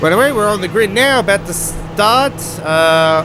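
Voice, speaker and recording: Over music in the background, a man with an Australian accent speaks with lively intonation. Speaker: gaming commentator. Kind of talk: let's play video game commentary. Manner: casual, hesitant with fillers.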